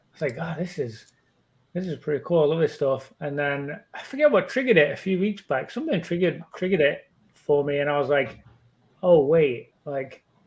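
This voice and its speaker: Fairly high in pitch, a man speaks with an English accent. His pace is fairly quick and his pitch varies in an ordinary way. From England. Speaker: pokemon card collector and youtuber. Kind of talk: podcast interview, casual chat.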